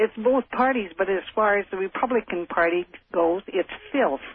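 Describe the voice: A high-pitched man with a slightly husky edge, moderate pace and ordinary pitch variation, dry and close with no echo.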